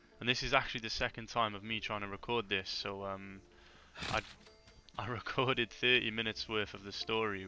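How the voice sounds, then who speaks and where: A man with a British accent speaks at a fairly quick pace in a fairly low pitch. His intonation stays fairly even, with music playing in the background. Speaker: gaming youtuber. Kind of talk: gameplay commentary. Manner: hesitant, many fillers.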